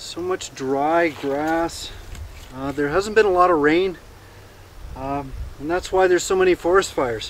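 A high-pitched man, dry sound with no echo, light background noise. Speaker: outdoor vlogger. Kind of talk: casual vlog chat. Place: open country.

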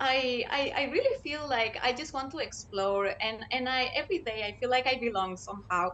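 Over light background noise, a woman with a Spanish accent speaks at a moderate pace, with a fairly high pitch and ordinary pitch variation. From Chile. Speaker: graduate scholar and education researcher. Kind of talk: panel discussion. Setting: video call. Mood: cheerful, smiling. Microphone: video call.

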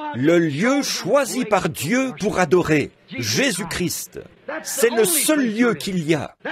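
Very slow speech with very wide pitch swings over noticeable background noise. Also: man. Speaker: preacher. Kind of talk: sermon.

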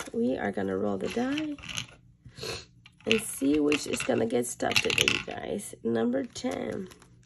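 A woman speaking with long, frequent pauses amid noticeable background noise. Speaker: budgeting vlogger. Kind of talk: casual vlog, cash stuffing.

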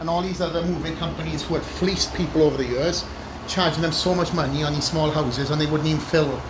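A man moves at a fairly quick pace, his intonation fairly even, with noticeable background noise in the mix. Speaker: interviewee. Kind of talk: interview answer. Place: garden.

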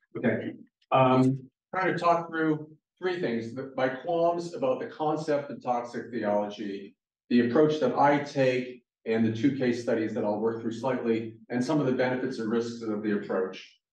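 Against a quiet background with audible room echo, a man speaks at a moderate pace with ordinary pitch variation. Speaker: guest lecturer. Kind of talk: lecture. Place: hall.

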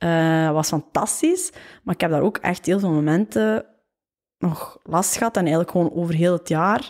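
Over a quiet background, a woman speaks at a moderate pace in a fairly low voice. Her loudness stays very even, and her pitch varies in an ordinary way. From Flanders, Waasland (Temse); Flanders, Belgium. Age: 20s. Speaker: fashion entrepreneur and author; podcast guest. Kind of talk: casual interview. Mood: relaxed, reflective. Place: home room. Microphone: studio mic.

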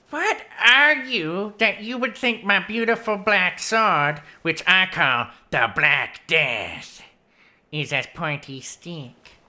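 Very slow in pace, a female-sounding voice of fairly high pitch moves through very wide pitch swings. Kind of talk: comic overacting. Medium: actual play. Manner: pompous, mock-courtly, comically dense.

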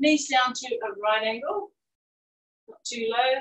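With audible room echo and light background noise behind her, a woman talks very slowly in a high, bright, sharp voice. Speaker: fitness instructor. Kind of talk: live-cued workout class instruction, counting down intervals. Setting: video call. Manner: brisk, encouraging coaching cues between exercises; upbeat, cheering. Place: garden.

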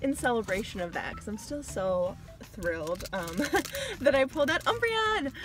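There is noticeable background noise, and the sound is dry with no echo. A woman speaks at a fairly quick pace. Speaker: card collecting vlogger. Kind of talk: casual vlog chat. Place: car. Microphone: phone near.

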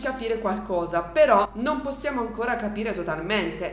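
Audible room echo accompanies a woman speaking at a fairly quick pace. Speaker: gaming youtuber. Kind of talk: let's play commentary. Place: home room.

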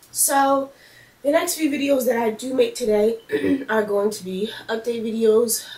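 A woman talks at a fairly slow pace, with audible room echo in the recording. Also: ordinary pitch variation. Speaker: beauty vlogger. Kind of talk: casual vlog update. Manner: hesitant, many fillers. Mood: apologetic, upbeat. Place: home room. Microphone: camera far.

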